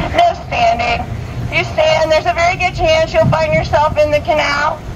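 A woman's voice competes with loud noise in the background. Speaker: tour guide. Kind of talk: tour guide commentary. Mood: joking, playful. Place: boat.

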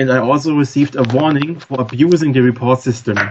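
A man with a strong German accent speaks at a moderate pace and a medium pitch. His voice is somewhat breathy, with fairly even intonation. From Germany. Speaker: former forum moderator. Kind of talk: podcast interview. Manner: halting.

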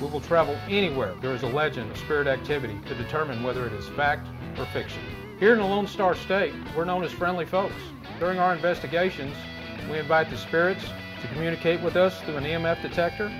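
A man with a fairly high pitch and an American accent speaks at a very fast pace with lively intonation. Music plays in the background. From Texas. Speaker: paranormal investigator. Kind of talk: TV show promo narration.

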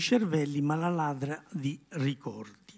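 A quiet background behind a man's voice. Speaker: neurologist and author. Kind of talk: book presentation talk. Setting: stage with audience. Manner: halting. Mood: reflective, serious. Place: hall. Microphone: handheld.

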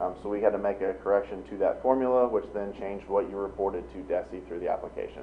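Barely stopping for breath, a man races along at a very fast clip. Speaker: auditor. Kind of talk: report presentation. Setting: school board meeting. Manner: many filler ums.

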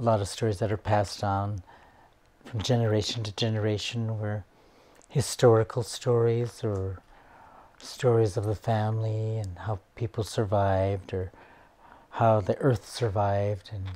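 Somewhat breathy and dark, mellow in tone, a man talks at a fairly low pitch and fairly slow pace with fairly even intonation and long, frequent pauses. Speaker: storyteller. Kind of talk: interview answer. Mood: calm, reflective. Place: home room.

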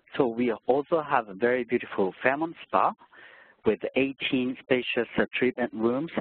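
Speaking with a Japanese accent, a man uses a medium pitch at a fairly slow pace. His loudness stays very even. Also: ordinary pitch variation. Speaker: hotel sales director. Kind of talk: sales presentation. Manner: hesitant with fillers.

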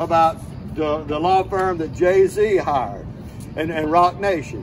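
Noticeable background noise sits under the recording. A man speaks at a high pitch and a fairly slow pace with ordinary pitch variation. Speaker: private investigator and veteran. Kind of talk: rally speech. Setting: outdoor rally with crowd. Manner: earnest, emotional, urgent.

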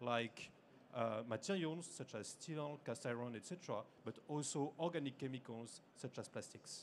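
The speaker is a man with ordinary pitch variation. Light background noise sits behind him. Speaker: conference presenter. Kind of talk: lecture. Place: hall.

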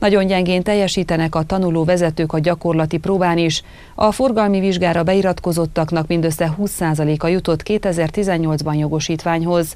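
Fairly low, dark, mellow female voice with very even loudness, fairly even intonation and a fairly slow pace. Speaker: news anchor. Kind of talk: news reading. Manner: formal. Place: studio.

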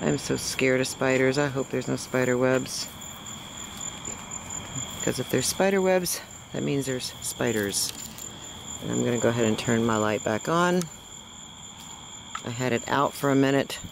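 Recorded dry with no echo amid noticeable background noise, the speech moves at a moderate pace broken by long, frequent pauses. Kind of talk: casual vlog chat. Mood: nervous, excited. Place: street. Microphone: phone near.

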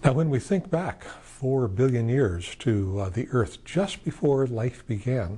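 Somewhat breathy and dark, mellow in tone, a man's medium-pitched voice carries lively intonation. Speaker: scientist; interviewee. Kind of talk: lecture. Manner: calm. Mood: gentle, calm. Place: studio.

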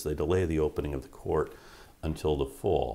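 Vocal fry runs through a man's dark, mellow tone as he talks at a fairly quick pace. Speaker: history professor interviewee. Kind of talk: interview answer. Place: office.

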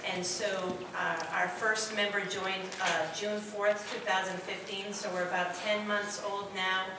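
A woman speaks at a fairly slow pace in a monotone, flat intonation. Audible room echo and noticeable background noise surround her. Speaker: council presenter. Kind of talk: formal presentation. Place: hall. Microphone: podium.

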